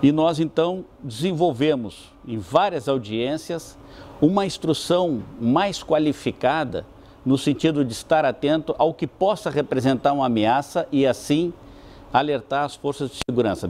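With ordinary pitch variation, a man's speech unfolds fairly slowly. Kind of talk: interview answer. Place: office.

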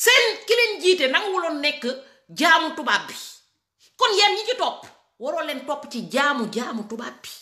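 A woman speaks in a raised, projected, high voice with a bright, sharp tone, very wide pitch swings and big swings in loudness, at a fairly slow pace with long, frequent pauses. Audible room echo surrounds her against a quiet background. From Senegal. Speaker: political commentator. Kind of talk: political rant. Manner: animated. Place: home room. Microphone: phone near.

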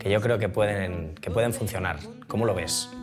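A man speaks with clear music in the background. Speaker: interviewee. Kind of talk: interview answer. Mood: relaxed, humorous storytelling. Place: studio.

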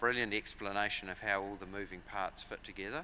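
A man with a New Zealand accent talks at a fairly quick pace with a fairly low pitch. Light background noise sits behind him. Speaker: agricultural software company director. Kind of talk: conference presentation. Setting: stage with audience. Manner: frequent fillers and repetitions. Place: hall. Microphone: podium.

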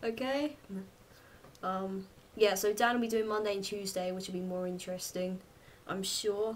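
Speaking with a southern English accent at a moderate pace, a woman with a medium pitch and fairly even intonation leaves long, frequent pauses. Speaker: vlogger. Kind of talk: casual chat. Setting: home video recording. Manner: chatty, rambling.

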